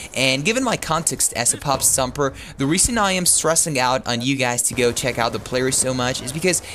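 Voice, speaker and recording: Through noticeable background noise, a man with an American accent speaks at a fairly quick pace and medium pitch, with ordinary pitch variation. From Texas. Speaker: gameplay commentator. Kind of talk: video game commentary. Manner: casual.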